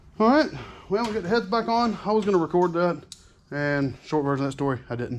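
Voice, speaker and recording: Fairly quick speech in a Southern US accent. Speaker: mechanic. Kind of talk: tutorial. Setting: workshop.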